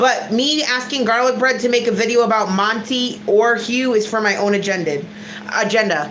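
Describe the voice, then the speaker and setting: There is audible room echo and noticeable background noise. Through it, a woman speaks at a fairly high pitch with ordinary pitch variation. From Connecticut, US. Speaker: YouTuber. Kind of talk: livestream reaction chat. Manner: animated.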